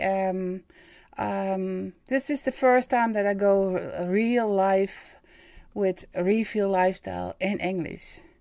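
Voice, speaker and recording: Speaking very slowly in a Dutch accent, a woman has a dark, mellow tone on a very clean recording with a silent background. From Netherlands. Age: 50s. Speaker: spiritual medium and live-stream host. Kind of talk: live stream monologue. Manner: halting, many fillers.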